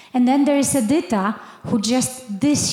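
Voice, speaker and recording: Against noticeable background noise, a woman with a Polish accent speaks at a fairly slow pace. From Poland. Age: 50s. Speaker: missionary. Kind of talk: testimony.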